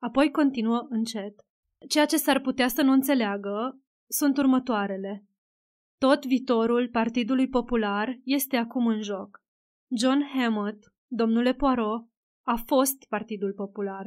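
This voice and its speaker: In a very clean recording with a silent background, a woman talks at a fairly slow pace in a high pitch, with fairly even intonation. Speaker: audiobook narrator. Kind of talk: scripted narration, literary audiobook reading. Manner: even, measured storyteller's pace, formal; shifts into dialogue voices for characters, gently expressive.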